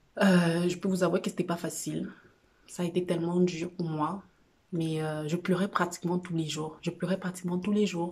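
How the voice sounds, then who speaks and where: A woman's fairly low, somewhat breathy voice at a moderate pace, in a flat, monotone delivery. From Cameroon. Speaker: vlogger sharing personal experience. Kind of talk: personal testimony vlog. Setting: at home on a couch. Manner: halting, many fillers.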